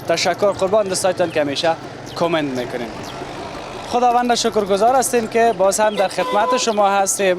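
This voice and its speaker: A man with a high pitch and lively intonation speaks over noticeable background noise. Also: fairly quick pace. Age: 30s. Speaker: street reporter. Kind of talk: on-location TV report.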